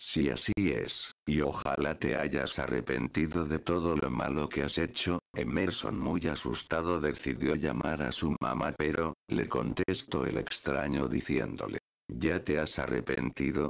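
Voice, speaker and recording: This man's very deep, low voice moves at a fairly slow pace with hardly any pauses, ordinary pitch variation, and very even loudness. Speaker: YouTuber. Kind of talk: creepypasta ghost story narration, hushed and ominous, with suspenseful pauses. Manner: casual, friendly YouTuber.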